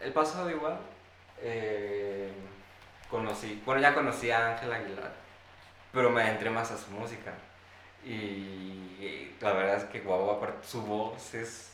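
The speech is fairly slow, with long, frequent pauses, ordinary pitch variation and big swings in loudness. Audible room echo and noticeable background noise surround it. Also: man, fairly low pitch for a man. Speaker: podcast co-host. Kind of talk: casual chat. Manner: mumbling; laughing.

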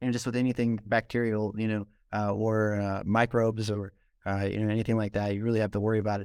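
In an American accent, a man with a fairly low pitch talks in a monotone, flat way on a very clean recording with a silent background. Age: young. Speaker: mushroom farm founder. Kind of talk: casual interview. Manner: halting, many fillers.

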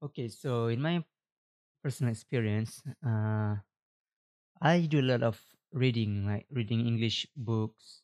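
A man with a Malaysian accent, fairly slow, with long, frequent pauses and ordinary pitch variation. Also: medium pitch for a man, dry, close sound with no echo. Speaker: podcaster. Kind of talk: casual solo podcast monologue. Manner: halting, filler-heavy, casual.

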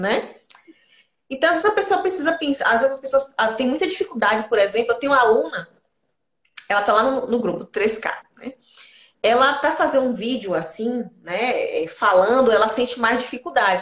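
A woman's high voice with very wide pitch swings, at a moderate pace broken by long, frequent pauses. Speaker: beauty therapist and podcast host. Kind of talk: casual chat. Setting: online live stream.

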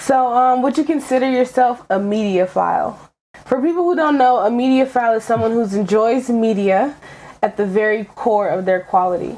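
This is a plain, everyday voice, a woman's, pitched fairly high. She keeps a moderate pace and very even loudness. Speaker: podcast host. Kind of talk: casual chat.

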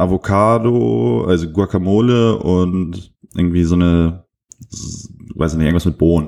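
Very deep and low in pitch, a man's voice moves with ordinary pitch variation. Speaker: podcaster. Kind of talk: casual monologue. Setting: hotel room.

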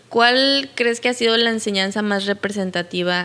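A woman speaks with a Mexican accent. Her pitch is medium, with ordinary pitch variation. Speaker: podcast host. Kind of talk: casual interview.

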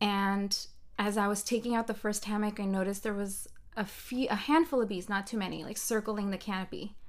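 A woman's normal speaking voice at medium pitch, fairly even in intonation, moving at a fairly quick pace. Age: 30s. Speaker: life coach and podcast co-host. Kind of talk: casual chat.

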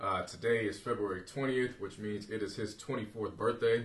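A man's voice at a medium pitch. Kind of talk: casual chat. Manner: loud.

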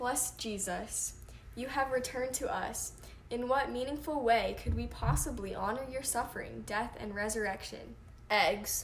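A woman keeps a moderate pace while noticeable background noise runs behind her. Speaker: podcast co-host. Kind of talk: casual chat. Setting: Instagram live recording.

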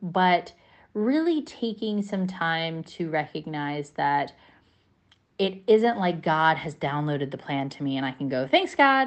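This woman has a very deep, low pitch and lively intonation. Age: 30s. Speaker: podcast co-host. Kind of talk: casual chat.

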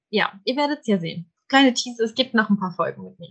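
A fairly high-pitched woman speaks in a somewhat breathy voice. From Germany, small village. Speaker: human design coach. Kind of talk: casual chat.

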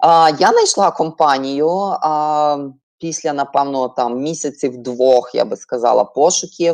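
Over a quiet background, a woman speaks at a very slow pace. Her very deep, low pitch shows ordinary variation. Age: 30s. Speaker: project manager. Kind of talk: online webinar talk.

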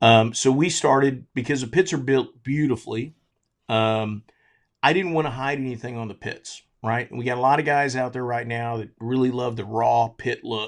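A man with an ordinary speaking voice and an American accent talks at a moderate pace and medium pitch, with fairly even intonation. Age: 50s. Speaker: charcoal company owner and barbecue competition cook. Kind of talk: casual interview.

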